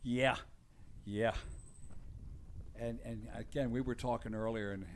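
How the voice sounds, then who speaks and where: With an American accent, a man speaks at medium pitch and a moderate pace. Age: 60s. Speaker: motocross race announcer. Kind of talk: live commentary.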